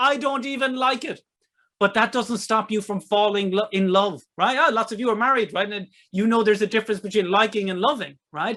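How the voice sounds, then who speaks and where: In an Irish accent, a high-pitched man speaks at a fairly quick pace in a raised, projected voice, his tone animated, bright and sharp, with ordinary pitch variation. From Ireland. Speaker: online marketing presenter, author. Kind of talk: webinar sales presentation. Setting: online webinar with chat.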